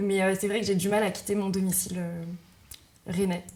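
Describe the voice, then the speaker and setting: A woman's medium-pitched voice, monotone and flat, at a fairly quick pace. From Brittany, Rennes. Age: 20s. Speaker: entrepreneur, event manager. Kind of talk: interview. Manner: hesitant, many filler sounds.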